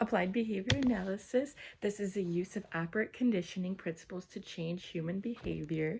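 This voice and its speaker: Her voice is medium-pitched and somewhat breathy, this woman using ordinary pitch variation. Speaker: college student. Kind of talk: study review presentation.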